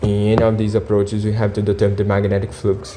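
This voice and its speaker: Noticeable background noise runs under this recording. A man with a non-native accent speaks at a fairly low pitch. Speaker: physics tutor. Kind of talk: tutorial. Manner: halting, many fillers.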